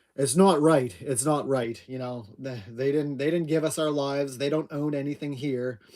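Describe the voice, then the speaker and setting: A man with a Maritime Canadian accent speaks with hardly any pauses in a fairly high voice of dark, mellow tone and fairly even intonation. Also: moderate pace. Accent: Down East Canadian. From Atlantic Canada. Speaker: homesteader livestream host. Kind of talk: casual live chat.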